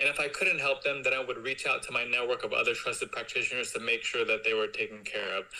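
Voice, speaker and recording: The words come at a very fast pace with hardly any pauses between them. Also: man. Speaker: business development executive and former personal chef. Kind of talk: interview.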